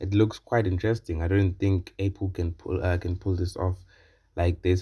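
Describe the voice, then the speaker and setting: In a very clean recording with a silent background, a man speaks with a very deep, low pitch, a dark, mellow tone, somewhat breathy delivery and monotone, flat intonation. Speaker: tech reviewer. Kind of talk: tech review video. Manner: casual, hesitant with fillers.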